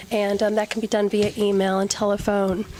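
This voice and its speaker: Against noticeable background noise, a woman speaks at a moderate pace in a fairly high pitch with monotone, flat intonation. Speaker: recruitment consultant presenting to city council. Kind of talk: presentation at council meeting. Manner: hesitant, many ums.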